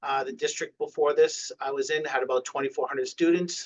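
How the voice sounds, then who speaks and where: A man is speaking. He has a slight Boston accent. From Massachusetts, near Boston. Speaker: school food service director. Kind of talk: webinar presentation. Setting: online webinar.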